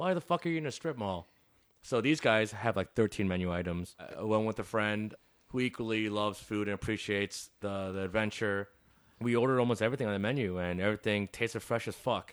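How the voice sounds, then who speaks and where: A fairly low-pitched man with a Chicago accent, fairly quick in pace, with ordinary pitch variation and a very clean recording over a silent background. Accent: Chicago American. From Chicago, north side. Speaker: chef and restaurant owner. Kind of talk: casual interview.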